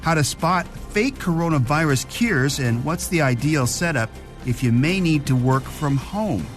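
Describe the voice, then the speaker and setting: Music plays behind a man with a fairly high voice. His loudness stays very even. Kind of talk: podcast intro narration.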